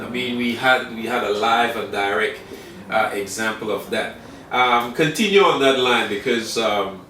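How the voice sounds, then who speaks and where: A man talks at a moderate pace in a medium pitch. There is noticeable background noise. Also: ordinary pitch variation. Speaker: interview show host. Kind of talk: talk show interview questions.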